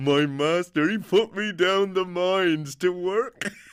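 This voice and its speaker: Putting on a character voice, a man talks at a high pitch and a fairly slow pace. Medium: read story.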